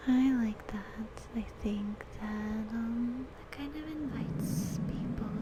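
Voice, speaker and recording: The speaker is soft-spoken and talks at a very slow pace over noticeable background noise. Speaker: ASMR creator. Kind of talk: ASMR rambling, reading affirmations aloud.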